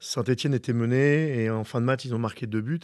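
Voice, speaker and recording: Heard on a very clean recording with a silent background, a man speaks at a medium pitch with fairly even intonation. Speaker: football coach. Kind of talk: interview. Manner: halting.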